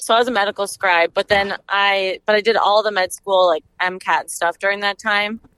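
A woman's flat, monotone delivery at a fairly quick pace with hardly any pauses, dry and close with no echo. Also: medium pitch for a woman. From Minnesota (Stillwater). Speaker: medical student. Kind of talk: casual chat.

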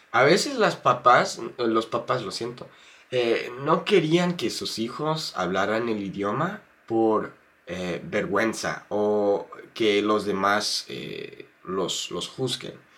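The pace from this man is very slow. His tone is bright and sharp, and his pitch swings very widely. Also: medium pitch for a man. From United States. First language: English (speaking Spanish). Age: 20s. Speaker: YouTuber and Spanish learner. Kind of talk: interview. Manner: halting, many fillers and repeats.

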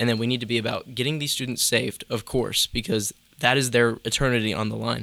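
At a very fast pace, a man with an American accent talks at a medium pitch with fairly even intonation. His tone is bright and sharp, with vocal fry. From North Carolina (between Charlotte and Greensboro). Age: 20s. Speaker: youth ministry student. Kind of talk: casual chat.

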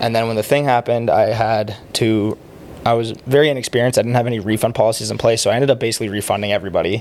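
A man in an Ontario accent at a very fast pace, medium pitch, fairly even intonation, with noticeable background noise. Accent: Canadian (Ontario). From Ontario, Canada (Oakville, near Toronto). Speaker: sports league founder. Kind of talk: casual chat.

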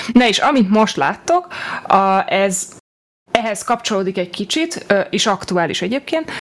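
A woman talks at a fairly slow pace and medium pitch. Her voice makes very wide pitch swings amid long, frequent pauses. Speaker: podcast host. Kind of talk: casual chat.

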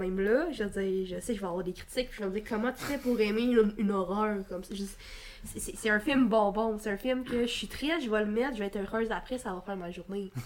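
A plain, everyday voice, this woman speaks with a fairly high pitch and ordinary pitch variation. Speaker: film podcast co-host and student. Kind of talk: casual chat.

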